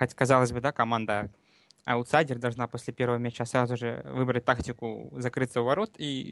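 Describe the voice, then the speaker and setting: A man speaks at a medium pitch in a flat monotone. The sound is dry and close, with no echo. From Donbas, Luhansk region. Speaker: fan and expert commentator.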